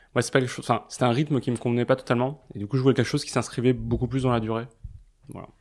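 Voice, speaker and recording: A man at medium pitch talking at a very fast pace, with big swings in loudness. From Paris. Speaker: advertising blog founder. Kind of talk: casual interview. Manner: hesitant, many fillers.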